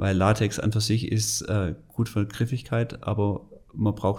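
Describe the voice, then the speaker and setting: Somewhat breathy, a man talks in a fairly low voice with fairly even intonation. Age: 40s. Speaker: sports product manager. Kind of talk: interview. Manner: halting.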